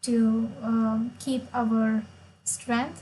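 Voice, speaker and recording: A woman's somewhat breathy, fairly high voice with a Marathi accent and a dark, mellow tone. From India, Maharashtra. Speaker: chess player and streamer. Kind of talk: live stream chess commentary.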